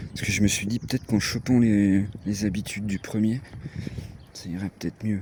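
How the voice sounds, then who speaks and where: With a strong eastern French accent, a man speaks at a fairly quick pace broken by long, frequent pauses, his fairly low, dark and mellow voice delivered in a flat monotone. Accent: strong regional eastern French. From eastern France (Franche-Comté / Haute-Marne). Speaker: vlogger. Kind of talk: casual vlog chat. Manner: hesitant, many fillers.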